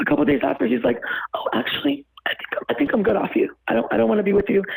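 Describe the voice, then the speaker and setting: A woman rattles along at a very fast pace, her loudness very even throughout. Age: 20s. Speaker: caller. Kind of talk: casual chat. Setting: phone call. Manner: animated.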